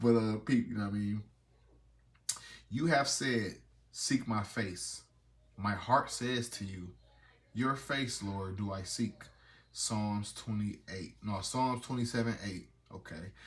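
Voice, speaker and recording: A quiet man speaks at a very slow pace with long, frequent pauses. His somewhat breathy voice sits fairly low in pitch with ordinary pitch variation. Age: 30s. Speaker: vlogger. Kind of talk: casual devotional vlog with reading aloud. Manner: casual, conversational.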